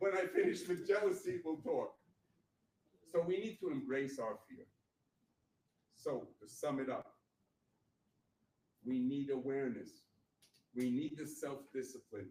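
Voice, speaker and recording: A man talks at a fairly slow pace. Long pauses come often. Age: 60s. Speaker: motivational speaker. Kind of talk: motivational talk. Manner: animated.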